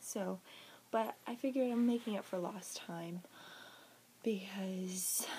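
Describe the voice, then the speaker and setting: The voice is somewhat breathy with ordinary pitch variation, moving at a fairly slow pace with long, frequent pauses. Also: woman, medium pitch for a woman. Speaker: book reviewer. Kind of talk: casual talk to camera. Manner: stuttering, hesitant.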